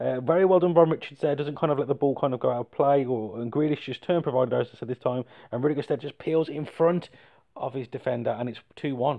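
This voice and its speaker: Talking at a very fast pace, a man with an English accent uses a fairly high pitch and ordinary pitch variation. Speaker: gaming YouTuber. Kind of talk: game commentary. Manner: animated.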